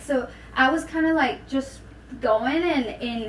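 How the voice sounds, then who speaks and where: In a Venezuelan accent, a high-pitched woman speaks with ordinary pitch variation amid noticeable background noise and audible room echo. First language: Spanish. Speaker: podcast guest. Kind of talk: casual chat. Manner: halting, repeats words.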